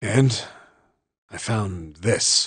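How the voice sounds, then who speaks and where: Using a put-on character voice, a man speaks in a raspy tone at a medium pitch. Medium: video game. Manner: casual, blunt.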